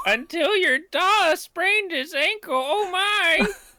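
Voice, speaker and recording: Extremely high pitch and a fairly slow pace in a put-on character voice. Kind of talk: warm, motherly.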